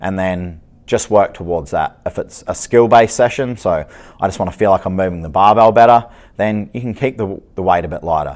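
A man with an unremarkable speaking voice, fairly low and fairly quick, with ordinary pitch variation, on a very clean recording with a silent background. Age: 40s. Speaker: strength and conditioning coach, podcast host. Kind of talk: solo podcast monologue. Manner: casual, with many filler words.

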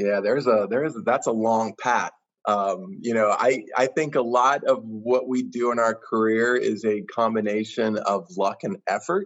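Speaking in a plain, everyday voice with an American accent, a man keeps a medium pitch and ordinary pitch variation. His pace is moderate. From US Midwest, central Kansas. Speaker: tourism bureau executive. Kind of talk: interview.

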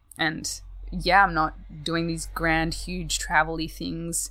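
A woman speaks with a slight Australian accent. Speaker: guest. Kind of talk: casual chat.

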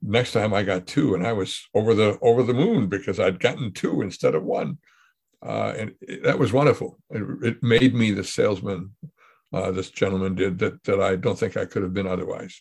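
Fairly low in pitch and somewhat breathy, a man talks at a fairly quick pace with ordinary pitch variation. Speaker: podcast host. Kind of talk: casual conversation.

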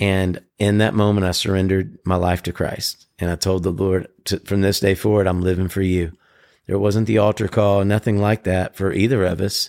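A fairly low-pitched man with a Southern US accent, flat monotone intonation and very even loudness, on a very clean recording with a silent background. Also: moderate pace. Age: 40s. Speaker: podcast co-host. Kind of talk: casual chat.

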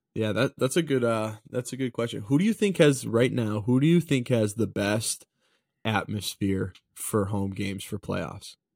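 In a very clean recording with a silent background and a dry, close sound with no echo, a man speaks in a normal speaking voice at a moderate pace, medium pitch and ordinary pitch variation. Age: 20s. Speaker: hockey podcast co-host. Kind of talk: casual chat.

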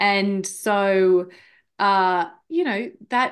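Woman with an Australian accent against a quiet background. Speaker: marketer and podcaster. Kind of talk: casual chat. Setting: remote call.

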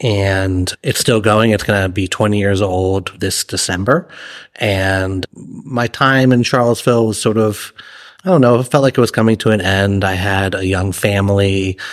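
An American-accented man with an unremarkable speaking voice keeps a moderate pace and fairly even intonation on a very clean recording with a silent background. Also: fairly low pitch for a man. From Massachusetts. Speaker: chef and restaurant owner. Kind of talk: interview.

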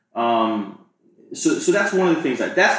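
There is audible room echo as a man speaks. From Maryland, US (Montgomery County). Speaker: real estate agent. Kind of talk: interview.

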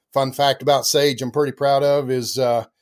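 Speaking at a moderate pace, a man holds a medium pitch with little pitch movement.

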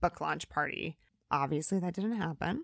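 A woman with an American accent and a plain, everyday voice, fairly low-pitched, ordinary pitch variation, a fairly quick pace, and a very clean, silent-background recording with a dry, close sound and no echo. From US Midwest, northern Indiana. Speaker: comedy producer and author. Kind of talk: interview.

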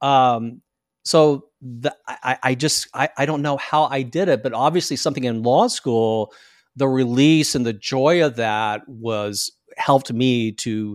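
A man with an American accent and a normal speaking voice talks at a fairly slow pace with ordinary pitch variation, on a very clean recording with a silent background. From US Deep South, small-town Florida. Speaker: actor, attorney and podcaster. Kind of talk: interview conversation.

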